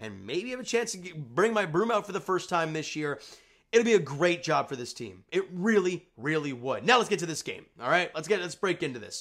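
The background is quiet. A man speaks at a fairly quick pace. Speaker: sports fan channel host. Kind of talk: casual sports commentary vlog. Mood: upbeat after team win. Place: home room. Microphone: webcam.

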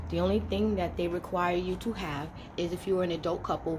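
Noticeable background noise sits behind a woman with a very deep, low pitch. Her pitch swings very widely and her pace is fairly quick. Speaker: vlogger. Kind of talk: casual vlog. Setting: homeless shelter. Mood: frustrated but upbeat. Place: home room. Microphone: phone near.

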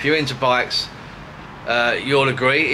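A man talks at a moderate pace with ordinary pitch variation. Noticeable background noise runs behind him. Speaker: vlogger. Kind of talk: casual vlog chat. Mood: cheerful, relaxed. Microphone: phone near.

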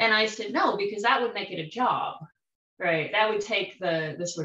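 With audible room echo, the speaker keeps a moderate pace and ordinary pitch variation. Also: woman. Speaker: tai chi student. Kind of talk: casual group discussion. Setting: video call. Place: home room. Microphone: video call.

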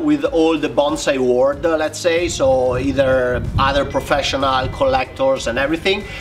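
The speaker has an Italian accent and a fairly slow pace. There is light background noise. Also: man. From Italy. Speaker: bonsai artist. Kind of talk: interview. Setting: video call. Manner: hesitant, frequent fillers. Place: garden.

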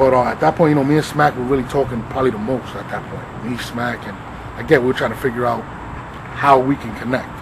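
A man's medium-pitched voice at a very fast pace, with big swings in loudness and noticeable background noise. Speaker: battle rap league co-founder; storyteller in documentary interview. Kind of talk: casual interview. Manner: animated. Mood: reflective, animated at times. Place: garden.

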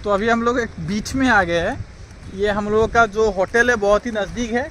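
Against light background noise, the speech comes at a moderate pace with fairly even intonation and a dry sound with no echo. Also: man. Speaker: travel vlogger. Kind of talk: casual vlog chat. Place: beach. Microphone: phone near.

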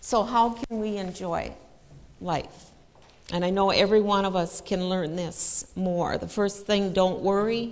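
A woman's fairly slow speech with fairly even intonation. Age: 60s. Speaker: church speaker; speaker. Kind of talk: sermon. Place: church.

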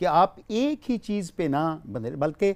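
Very wide swings in pitch from a man's voice. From Pakistan. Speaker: naat teacher. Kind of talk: instructional TV lesson. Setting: TV studio set with children. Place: studio. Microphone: lapel.

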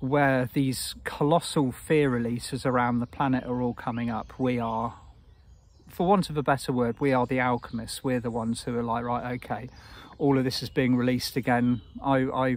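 Here a man speaks at a moderate pace with fairly even intonation. The sound is dry with no echo. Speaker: spiritual teacher. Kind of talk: casual talk giving guidance. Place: forest. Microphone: phone near.

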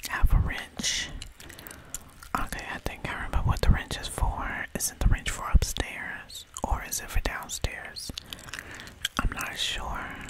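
The speaker is whispering at a fairly slow pace. Long, frequent pauses break up the speech. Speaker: gamer. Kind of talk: casual gameplay commentary, ASMR gaming. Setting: home recording while playing a video game. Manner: casual, excited, chatty.

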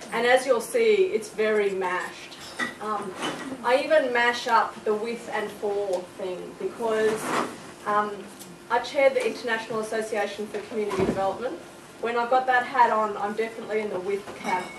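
Noticeable background noise sits behind a woman speaking at a moderate pace. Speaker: speaker. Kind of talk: presentation talk. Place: classroom. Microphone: camera far.

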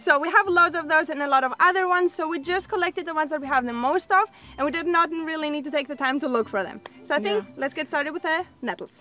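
Very fast and lively, the raised, projected voice sounds dry with no echo, with light background noise behind it. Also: woman. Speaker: farm vlogger. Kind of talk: casual vlog chat. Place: garden.

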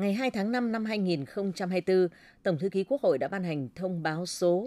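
Her dark, mellow tone and lively intonation come through as this woman talks at a fairly slow pace in a dry sound with no echo. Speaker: radio news presenter. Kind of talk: news reading. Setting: studio. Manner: formal. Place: studio.

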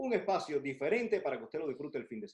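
A man's pitch swings very widely, with only a quiet background behind him. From Cuba. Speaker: TV show co-host. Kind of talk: casual chat. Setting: at home. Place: home room. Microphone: video call.

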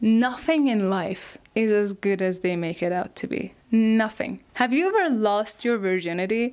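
A woman's fairly high pitch with a non-native accent, fairly slow pace, hardly any pauses and ordinary pitch variation. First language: not English. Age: 20s. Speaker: YouTuber. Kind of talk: video essay monologue. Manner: casual, self-deprecating. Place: home room. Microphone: lapel.

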